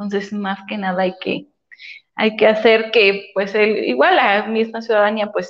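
This woman speaks in an ordinary speaking voice at a fairly high pitch. She talks fairly slowly. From Puebla, Mexico. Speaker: municipal official. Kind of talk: interview.

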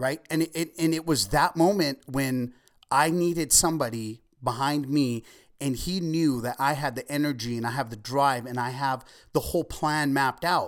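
In a very clean recording with a silent background, a man with an American accent and a normal speaking voice talks at a moderate pace, his fairly high pitch showing ordinary pitch variation. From Ventura County, California. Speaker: entrepreneur. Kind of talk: interview.

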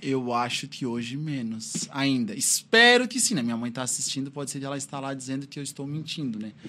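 A man with a plain, everyday voice talks at a fairly quick pace with hardly any pauses. His pitch is fairly high, with ordinary pitch variation. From Criciúma, Santa Catarina, southern Brazil. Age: 30s. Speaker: police officer and drug-prevention instructor. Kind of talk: interview.

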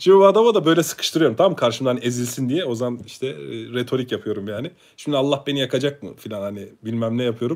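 Making very wide pitch swings, a man speaks at a very fast pace. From Ankara, Turkey. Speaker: YouTuber, religious content creator. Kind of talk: live stream monologue, personal testimony. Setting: live stream. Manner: casual, conversational with hesitations.

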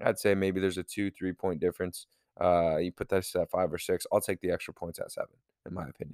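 The recording is very clean with a silent background and a dry, close sound with no echo as a man speaks at a very fast pace. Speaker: sports betting podcast host. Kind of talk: casual monologue. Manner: casual, profane.

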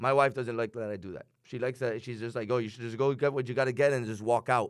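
Very fast talk comes from a man with a Miami accent and ordinary pitch variation. The recording is very clean over a silent background. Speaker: radio co-host. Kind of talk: casual radio chat.

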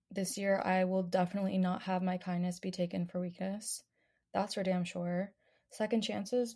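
Over a very clean recording with a silent background, a woman speaks at a medium pitch. Her dark, mellow voice is somewhat breathy and monotone, with flat intonation. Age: 20s. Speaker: podcast host. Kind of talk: casual monologue. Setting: home bedroom.

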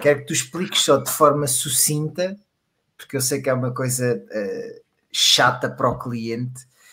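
Using an unremarkable speaking voice, a man talks at a moderate pace. His pitch is fairly high, with ordinary variation. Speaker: podcast co-host. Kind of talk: casual chat.

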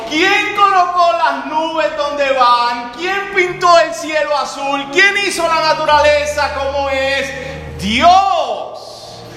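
With noticeable background noise behind him, a man speaks in a raised, projected voice at an extremely high pitch, very slowly, with hardly any pauses and ordinary pitch variation. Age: 30s. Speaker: pastor. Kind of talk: sermon.

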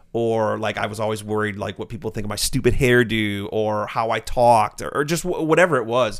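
On a very clean recording with a silent background, a man speaks in a plain, everyday voice of medium pitch, at a fairly quick pace with hardly any pauses and ordinary pitch variation. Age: 30s. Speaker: YouTuber and vlogger. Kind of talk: casual chat.

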